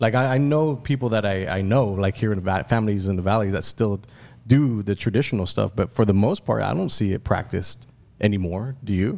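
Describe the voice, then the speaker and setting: A man with a plain, everyday voice talks fairly quickly at a fairly low pitch, with ordinary pitch variation. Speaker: podcast host. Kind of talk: casual chat.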